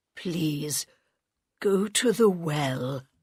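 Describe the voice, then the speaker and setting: A put-on character voice at a middle pitch carries lively intonation. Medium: read story.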